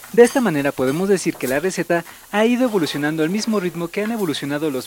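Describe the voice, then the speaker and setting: Through noticeable background noise, a man with a Mexican accent talks at a very fast pace and a high pitch. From Mexico City. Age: 30s. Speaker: podcast host. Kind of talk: scripted narration.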